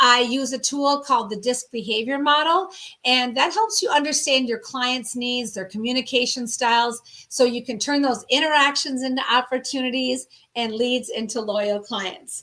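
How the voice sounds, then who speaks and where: With a Minnesota accent, a woman speaks at a moderate pace in a high pitch, her bright, sharp tone showing ordinary pitch variation. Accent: Minnesota twang. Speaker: sales strategist and business founder. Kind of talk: interview.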